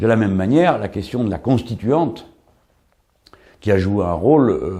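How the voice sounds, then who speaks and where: A man with a fairly low pitch and a dark, mellow tone speaks at a moderate pace with lively intonation. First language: French (speaking Spanish). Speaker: political commentator. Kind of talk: documentary interview. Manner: hesitant, with fillers.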